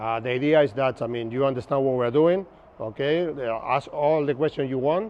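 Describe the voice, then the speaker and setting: A man at a very fast pace with ordinary pitch variation. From Argentina, Buenos Aires. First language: Spanish. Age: 50s. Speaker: navigation instructor. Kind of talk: lecture. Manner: casual, conversational.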